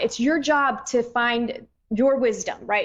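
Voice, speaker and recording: A woman speaks in a high pitch, her pitch varying in an ordinary way. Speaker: psychic radio host. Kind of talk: radio show monologue. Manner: fast.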